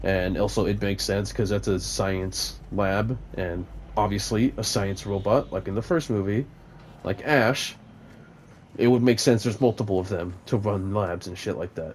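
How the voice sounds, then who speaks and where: Mumbling at a moderate pace, a man talks in a fairly low pitch with ordinary pitch variation. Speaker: gaming YouTuber reviewing a movie. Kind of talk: casual rambling movie review over gameplay. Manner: hesitant, many fillers.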